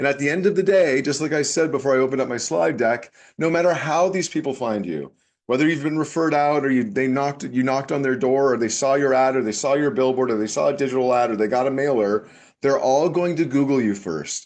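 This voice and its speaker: Someone with a slight Canadian accent talks at a very fast pace with ordinary pitch variation over a quiet background. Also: man, fairly high pitch for a man. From Canada. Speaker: tech business consultant. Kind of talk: webinar presentation. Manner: animated.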